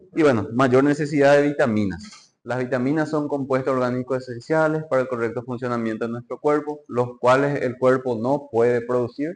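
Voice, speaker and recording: A man with a plain, everyday voice talks at a moderate pace and medium pitch with fairly even intonation. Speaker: medical lecturer or student presenter. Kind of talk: lecture.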